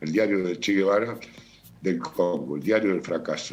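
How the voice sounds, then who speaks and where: Music plays in the background as a man speaks at a moderate pace in a fairly low pitch. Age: 70s. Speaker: writer. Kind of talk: interview. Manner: hesitant, many fillers.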